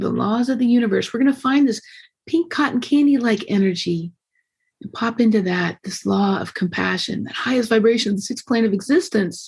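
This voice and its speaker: With lively intonation and a somewhat breathy voice, a woman talks fairly quickly at a fairly high pitch. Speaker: podcast host. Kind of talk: guided meditation. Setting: video call. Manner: fast; animated.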